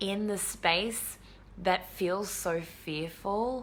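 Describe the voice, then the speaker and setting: A woman speaks with ordinary pitch variation, with audible room echo around her. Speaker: retreat space holder and coach. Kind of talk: casual live video update. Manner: animated.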